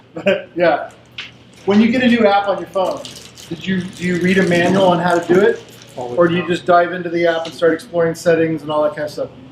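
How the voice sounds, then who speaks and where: Against noticeable background noise, a man talks loudly at a fairly quick pace. His pitch is high and his intonation fairly even. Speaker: presenter leading team games. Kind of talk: interactive workshop presentation.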